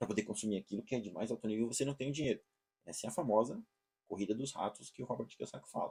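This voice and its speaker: A man's very fast speech, dark and mellow in tone, with ordinary pitch variation. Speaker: online course teacher. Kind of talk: lecture. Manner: hesitant, repeats words.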